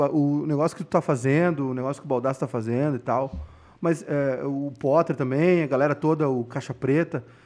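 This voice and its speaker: Over a quiet background, a man talks at a fairly quick pace with a fairly high pitch and ordinary pitch variation. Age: 30s. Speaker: podcast host. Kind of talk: casual chat.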